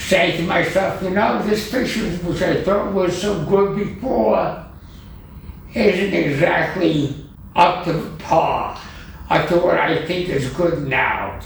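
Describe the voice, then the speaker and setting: With audible room echo and noticeable background noise, a man speaks at a very slow pace in a high pitch with ordinary pitch variation. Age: 80s+. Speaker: digital artist. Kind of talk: interview.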